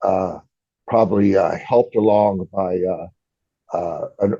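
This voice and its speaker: Here a man with a US Midwestern accent speaks at a fairly slow pace. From US Midwest (Iowa). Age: 60s. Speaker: AA speaker, recovering alcoholic, retired construction worker. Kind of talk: recovery meeting talk (testimony). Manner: halting, many fillers.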